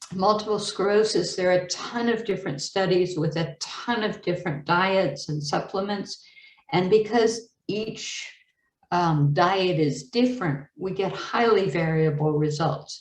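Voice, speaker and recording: A woman's somewhat breathy, medium-pitched voice at a fairly slow pace, with ordinary pitch variation and audible room echo. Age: 60s. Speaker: medical educator presenter. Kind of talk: webinar lecture. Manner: casual with many fillers.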